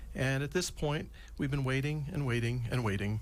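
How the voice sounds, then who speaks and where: A somewhat breathy man's voice at medium pitch, fairly even in intonation, with audible room echo. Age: 60s. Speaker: physician and Alzheimer's expert. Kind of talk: radio interview explanation.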